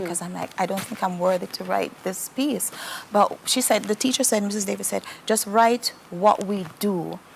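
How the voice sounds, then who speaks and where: A woman talks at a moderate pace and a medium pitch, with ordinary pitch variation. Noticeable background noise runs behind her. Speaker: storyteller and poet. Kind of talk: interview answer.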